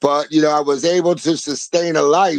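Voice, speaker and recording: Against a quiet background, a man with a fairly high pitch speaks in an animated tone at a moderate pace, the sound dry and close with no echo. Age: 60s. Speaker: live streamer, retired food truck owner flipping houses. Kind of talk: casual livestream chat. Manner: animated, emphatic with heavy swearing.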